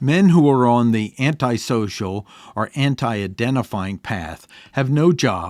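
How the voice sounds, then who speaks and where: This is a normal speaking voice with lively intonation at a fairly slow pace. The recording is very clean and the background silent. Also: man, medium pitch for a man. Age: 60s. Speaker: podcast host and author. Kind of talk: casual monologue; reading aloud.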